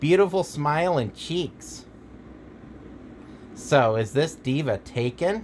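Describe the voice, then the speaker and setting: Doing a put-on character voice, a man speaks nasally at a fairly high pitch with lively intonation, a fairly slow pace, and long, frequent pauses. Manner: flirtatious, teasing.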